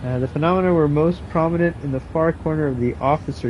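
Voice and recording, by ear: A man is speaking at a fairly quick pace. His pitch varies in an ordinary way.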